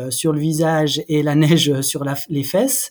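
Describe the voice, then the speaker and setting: A man's voice with fairly even intonation. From France, Jura (Haut-Doubs). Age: 40s. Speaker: former Olympic athlete and clothing brand founder. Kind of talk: interview. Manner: halting, many repetitions.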